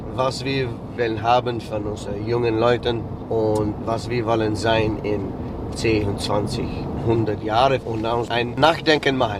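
Speaking at a very slow pace, a man with a medium-pitched voice is heard over noticeable background noise and audible room echo. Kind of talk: interview.

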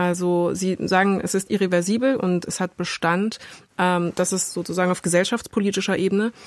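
A woman speaks at a fairly quick pace and a medium pitch. Her loudness stays very even and her intonation fairly even. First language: bilingual German and French (speaking German). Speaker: podcast host. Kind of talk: interview. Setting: studio.

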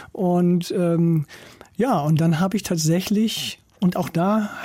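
Fairly even intonation paired with a dark, mellow tone. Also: man. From northern Germany, East Frisia (Norden). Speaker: agricultural scientist, professor. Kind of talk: interview. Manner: hesitant with frequent fillers.

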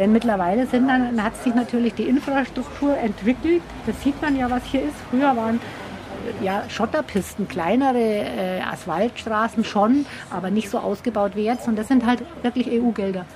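Noticeable background noise runs beneath a woman's fairly high voice, which moves at a moderate tempo with normal pitch movement. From Bavaria, Germany. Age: 60s. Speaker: hiking guide. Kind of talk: interview. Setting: bakery.

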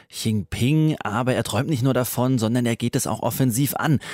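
A man at a medium pitch with ordinary pitch variation. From Baden, Pforzheim area. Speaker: radio news show host. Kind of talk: radio news magazine presenting. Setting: studio.

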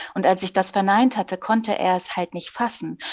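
This is a woman with an unremarkable speaking voice at a medium pitch. Her pitch varies in an ordinary way, and the background is quiet. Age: 40s. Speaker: author. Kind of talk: interview.

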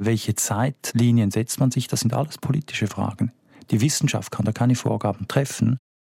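Vocal fry runs through a dark, mellow tone at a moderate pace, with fairly even intonation, very even loudness, and a dry, close sound with no echo. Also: man, medium pitch for a man. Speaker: historian of science. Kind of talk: interview.

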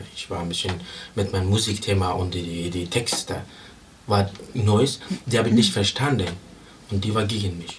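A man's fairly low voice with ordinary pitch variation and long, frequent pauses, amid audible room echo and noticeable background noise. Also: moderate pace. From Afghanistan. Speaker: musician. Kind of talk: interview. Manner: halting.

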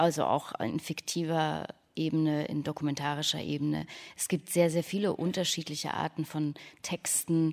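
Over a very clean recording with a silent background, a woman speaks with a very deep, low pitch. Her pace is fairly slow and her intonation fairly even. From Leipzig, Saxony. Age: 30s. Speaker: radio author. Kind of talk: panel discussion.

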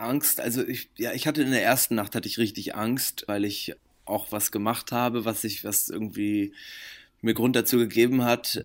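Recorded very cleanly against a silent background, a man speaks at a medium pitch and moderate pace with fairly even intonation. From Germany, Bremen. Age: 20s. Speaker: actor, musician and model. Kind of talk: interview.

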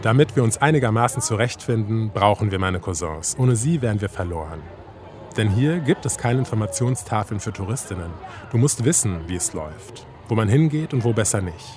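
Over noticeable background noise, the speaker moves at a moderate pace with lively intonation. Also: man, medium pitch for a man. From Germany, Kassel (northern Hesse). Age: 30s. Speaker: radio documentary author. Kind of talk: scripted narration.

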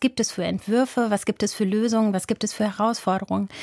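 Here is a normal speaking voice with fairly even intonation. The pace is fairly quick, and the sound is dry and close with no echo. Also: woman. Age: 40s. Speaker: journalist and podcaster. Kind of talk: interview.

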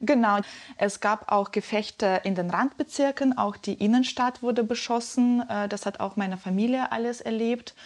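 Fairly high in pitch, a woman speaks at a moderate pace with fairly even intonation. She has a plain, everyday voice, and the background is quiet. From Ukraine, Donetsk. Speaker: journalist. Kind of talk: interview.

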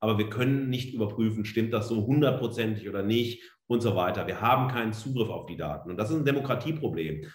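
Amid audible room echo, a man at a medium pitch talks at a very fast pace with ordinary pitch variation. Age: 40s. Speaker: media studies professor. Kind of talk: lecture. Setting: online talk.

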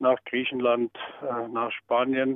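A man at a medium pitch, speaking at a very slow pace. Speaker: former youth organization official. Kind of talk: interview. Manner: halting with filler sounds.

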